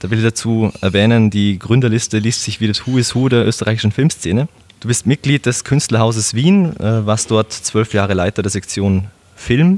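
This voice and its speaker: A man of medium pitch speaks at a moderate pace with ordinary pitch variation, over noticeable background noise. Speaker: podcast host. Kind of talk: casual interview. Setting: Viennese coffee house.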